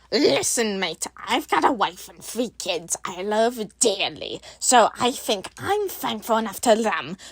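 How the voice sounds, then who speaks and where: Put-on character voice at a fairly high pitch and fairly slow pace, with hardly any pauses. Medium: actual play.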